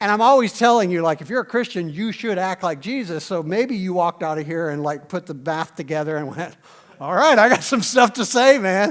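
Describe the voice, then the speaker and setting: A high-pitched man with an American accent, with lively intonation at a fairly quick pace. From US South. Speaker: pastor. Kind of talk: sermon. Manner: fast.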